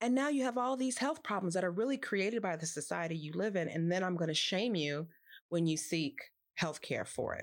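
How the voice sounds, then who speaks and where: A woman with a Californian accent, medium pitch and very wide pitch swings, talking at a fairly quick pace in a very clean recording with a silent background. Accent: General American, California. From US West Coast, Los Angeles. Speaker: poet and nonprofit executive. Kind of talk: casual chat.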